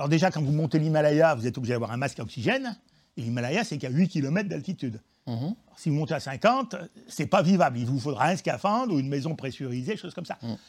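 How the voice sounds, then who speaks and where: Talking very fast, a man with a fairly high, somewhat breathy voice uses lively intonation. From Auvergne, France. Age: 70s. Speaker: geologist, professor emeritus. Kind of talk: interview, popular science explanation.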